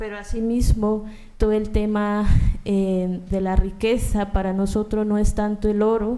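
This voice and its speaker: Her tone dark and mellow, a woman of medium pitch speaks at a fairly slow pace with monotone, flat intonation. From Colombia. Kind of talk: panel talk.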